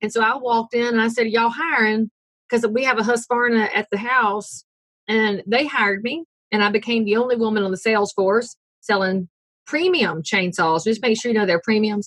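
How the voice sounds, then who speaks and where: The speaker has a Southern US accent and a fairly quick pace with ordinary pitch variation. The sound is dry and close, with no echo. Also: woman, fairly high pitch for a woman, very even loudness. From US South, North Carolina. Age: 40s. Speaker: realtor. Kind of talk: interview.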